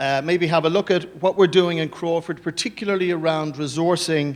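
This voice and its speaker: A man with an Irish accent at a fairly quick pace, high in pitch with ordinary pitch variation. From Ireland. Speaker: business executive. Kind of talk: conference presentation.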